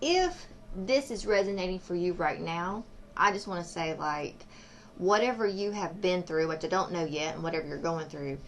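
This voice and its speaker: The pitch varies in an ordinary way. Audible room echo is present. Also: woman, fairly low pitch for a woman, moderate pace. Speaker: tarot reader. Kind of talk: tarot reading. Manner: casual, meandering.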